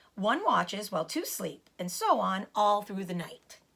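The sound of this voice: A put-on character voice from a woman, medium in pitch with a fairly bright tone, big pitch swings, vocal fry and a fairly slow pace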